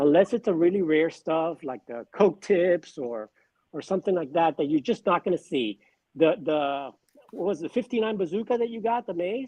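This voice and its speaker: This man's voice is high in pitch. He speaks with lively intonation. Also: moderate pace. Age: 60s. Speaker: baseball card collector. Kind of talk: casual chat. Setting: live stream.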